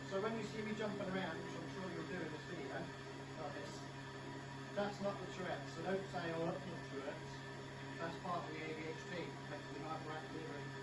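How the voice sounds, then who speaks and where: A man speaks at a fairly quick pace with ordinary pitch variation. Clear music plays in the background. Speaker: home cook vlogger. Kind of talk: casual vlog chat. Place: kitchen. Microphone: camera far.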